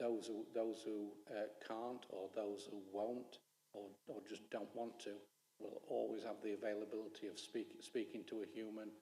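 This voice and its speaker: A man's fairly low, dark, mellow voice at a fairly slow pace, with monotone, flat intonation. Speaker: council officer presenting to councillors. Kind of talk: council committee presentation and Q&A. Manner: halting, many repetitions.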